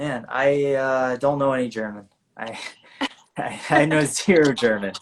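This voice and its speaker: This man speaks with an American accent in a plain, everyday voice, medium in pitch with ordinary pitch variation, at a fairly slow pace. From US South. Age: 20s. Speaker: actor. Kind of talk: casual chat.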